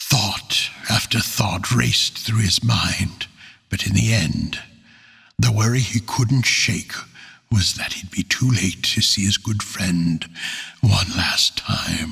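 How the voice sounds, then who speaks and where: A man talks in a fairly low voice with ordinary pitch variation. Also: fairly slow pace. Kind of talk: fantasy audiobook narration. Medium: read story. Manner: earnest, measured.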